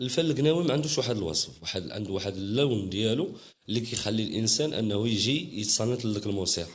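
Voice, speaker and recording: A man speaks at a fairly quick pace with lively intonation and a fairly low pitch. Audible room echo surrounds his voice. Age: young. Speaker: Gnawa master musician. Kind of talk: interview. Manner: halting.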